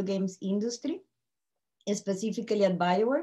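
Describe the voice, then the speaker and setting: Here is a woman with a Colombian accent. She talks at a moderate pace with ordinary pitch variation. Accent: Colombian Spanish accent, still noticeable. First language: Spanish. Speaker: tech company CEO and panel speaker. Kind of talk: webinar presentation. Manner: speeds up when excited.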